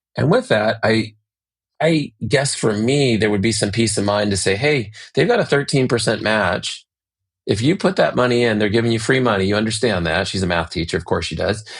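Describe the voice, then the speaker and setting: A fairly quick pace with ordinary pitch variation against a quiet background. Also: man, fairly low pitch for a man. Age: 50s. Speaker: orthodontist podcast co-host. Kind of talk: casual podcast discussion. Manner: halting, repeats words.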